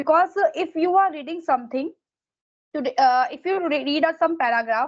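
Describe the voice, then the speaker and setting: Speaking at a fairly quick pace, a woman with an Indian accent uses a high pitch. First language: Hindi. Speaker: exam preparation mentor. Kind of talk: casual advice conversation.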